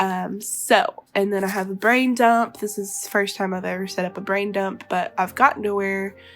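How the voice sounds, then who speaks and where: There is music in the background. A woman speaks at a moderate pace. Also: medium pitch for a woman, fairly even intonation. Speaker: web designer. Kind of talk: casual talk to camera.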